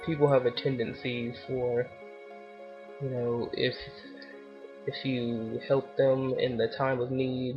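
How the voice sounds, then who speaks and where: Quiet speech over music in the background. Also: man. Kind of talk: casual talk to camera. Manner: quiet, low volume; flat, monotone.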